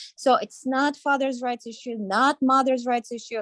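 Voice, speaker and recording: A woman with a high pitch speaks at a moderate pace. The sound is dry and close with no echo, on a very clean recording with a silent background. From Ukraine. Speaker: parents' advocacy co-founder. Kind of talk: talk show statement.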